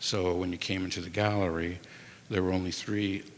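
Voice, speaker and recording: Very deep and low in pitch, a man speaks at a moderate pace with monotone, flat intonation. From Ukrainian community in Chicago, US. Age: 60s. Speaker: museum director. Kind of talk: panel discussion. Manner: halting, many fillers and restarts.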